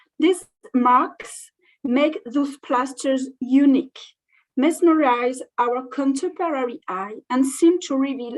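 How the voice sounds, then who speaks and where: A woman's high-pitched voice with a French accent and ordinary pitch variation. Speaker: museum curator. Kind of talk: conference presentation. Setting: online video call. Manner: halting.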